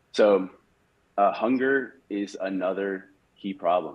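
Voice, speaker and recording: A man's fairly low voice, an ordinary speaking voice, with fairly even intonation over a quiet background. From US with Spanish mother. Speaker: tech company founder and CEO. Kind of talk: webinar presentation. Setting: video call. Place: home room. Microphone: webcam.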